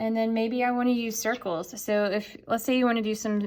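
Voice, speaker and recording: Fairly even intonation and a moderate pace in a plain, everyday voice. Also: woman. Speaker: art teacher. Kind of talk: tutorial.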